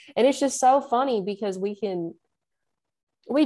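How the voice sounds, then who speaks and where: Over a quiet background, a woman with a Southern US accent speaks at a moderate pace in a dark, mellow tone with ordinary pitch variation. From Nashville, Tennessee. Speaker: musician. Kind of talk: casual interview chat.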